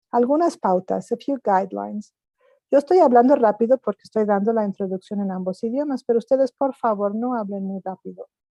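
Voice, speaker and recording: A very fast woman's voice, fairly high in pitch yet dark and mellow in tone, with ordinary pitch variation and a dry, close sound with no echo. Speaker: interpreter. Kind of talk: event instructions. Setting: video call.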